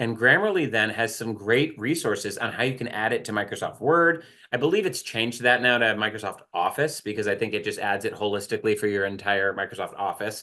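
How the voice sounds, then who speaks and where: A loud man speaks at a very fast pace in a medium pitch with a bright, sharp tone over a quiet background. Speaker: writing center staff, workshop presenter. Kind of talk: online workshop presentation. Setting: video call.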